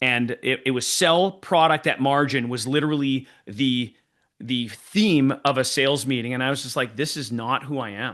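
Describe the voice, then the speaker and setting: A man speaks at a moderate pace and medium pitch, with ordinary pitch variation. The background is quiet. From Canada, Winnipeg (French Canadian). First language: French. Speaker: sales trainer. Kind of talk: podcast interview.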